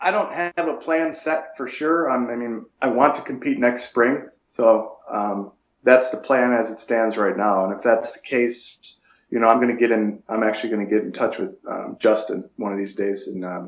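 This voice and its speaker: This is a plain, everyday voice with an American accent at a moderate pace. Pitch variation is ordinary, while loudness swings in big ways. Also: man, medium pitch for a man. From Buffalo, New York. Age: 40s. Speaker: natural bodybuilder. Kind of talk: interview.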